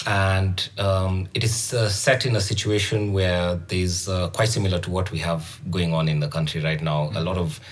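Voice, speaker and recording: Amid audible room echo, a man with a very deep, low pitch speaks at a moderate pace with fairly even intonation. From Kenya. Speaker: author and illustrator. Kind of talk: casual chat.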